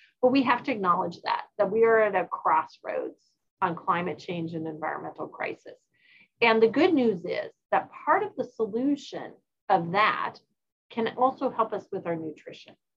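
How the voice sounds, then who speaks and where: Pitch swings very widely at a moderate pace. The voice is somewhat breathy. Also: woman, fairly high pitch for a woman. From Norway. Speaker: obstetrics professor and researcher. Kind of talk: interview. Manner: halting with repeated words.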